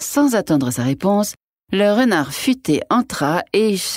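The speaker is reading aloud in a natural voice, and the background is quiet.

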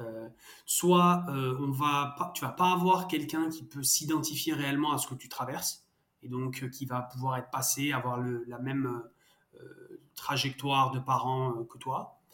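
A man at a medium pitch speaks at a fairly slow pace with fairly even intonation and big swings in loudness. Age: 30s. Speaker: startup co-founder, father. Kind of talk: interview. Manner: hesitant, many fillers and repetitions.

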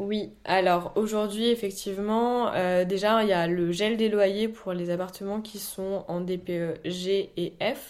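At a very slow pace with hardly any pauses, a woman speaks at a medium pitch with fairly even intonation. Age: 20s. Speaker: real estate entrepreneur. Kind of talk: interview.

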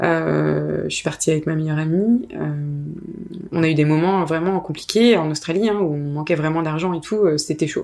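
A woman's very deep, low voice with ordinary pitch variation, at a moderate pace with long, frequent pauses. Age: 30s. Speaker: freelancer, founder of a freelancer collective. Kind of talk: casual interview.

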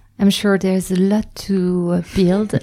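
A woman with a French accent speaks at a moderate pace in a dark, mellow tone with monotone, flat intonation. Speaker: podcast host. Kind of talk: interview. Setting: recorded at a host venue's premises. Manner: halting.

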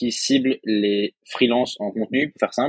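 Here a man with an unremarkable speaking voice talks at a medium pitch and a moderate pace with fairly even intonation, in a dry, close sound with no echo. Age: 20s. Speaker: freelance writer and online school founder. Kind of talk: casual interview chat.

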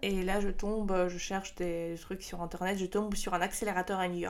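A woman with a Russian accent at a moderate pace. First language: Russian (speaking French). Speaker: startup co-founder. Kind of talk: interview. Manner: halting.

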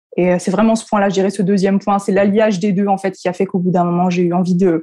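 A woman with a medium pitch and a dark, mellow tone. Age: 20s. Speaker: content creator, former primary school teacher. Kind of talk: casual interview chat.

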